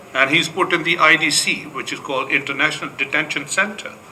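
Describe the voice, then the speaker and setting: A man speaks at a fairly quick clip, noticeable background noise audible throughout. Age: 70s. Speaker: pastor. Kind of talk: panel discussion answer. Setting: conference room. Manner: halting.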